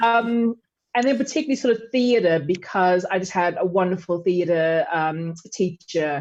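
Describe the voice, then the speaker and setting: A woman with an American accent speaks at a fairly slow pace, her medium-pitched voice carried by lively intonation. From US South, Chattanooga, Tennessee. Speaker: writer, theatre maker and educator. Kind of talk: interview.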